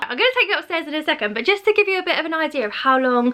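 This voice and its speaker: A woman uses a raised, projected voice with lively intonation. Noticeable background noise sits behind her. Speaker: lifestyle vlogger. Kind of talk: casual video walkthrough. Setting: at home. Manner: fast.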